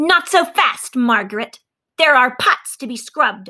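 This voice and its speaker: Doing a put-on character voice, a woman growls at a high pitch and a moderate pace, her pitch swinging very widely. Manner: threatening.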